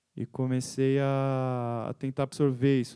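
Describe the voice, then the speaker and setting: A man's dark, mellow tone comes through a dry, close sound with no echo. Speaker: musician and composer. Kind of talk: talk to an audience. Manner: halting, with repetitions.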